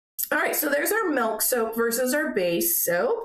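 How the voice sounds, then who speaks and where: Audible room echo surrounds a woman speaking at a high pitch and a moderate pace. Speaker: soap-making channel host. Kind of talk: tutorial. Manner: casual, filler-heavy.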